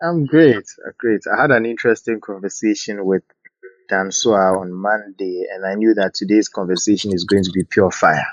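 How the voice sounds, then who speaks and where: This man has a plain, everyday voice with fairly low pitch. He talks at a moderate pace with ordinary pitch variation. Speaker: podcast host. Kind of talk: casual chat. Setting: live audio room online.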